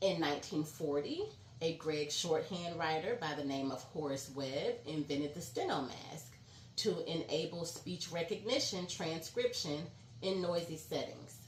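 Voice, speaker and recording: A woman's fairly low voice at a fairly slow pace, with ordinary pitch variation and audible room echo. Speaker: vlogger, court reporter. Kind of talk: educational vlog. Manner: trips over words.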